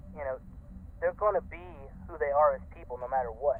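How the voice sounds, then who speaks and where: Noticeable background noise runs under a man speaking with an American accent. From North Carolina, US South. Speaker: costuming club leader. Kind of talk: interview. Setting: online call. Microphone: garbled, poor sound quality.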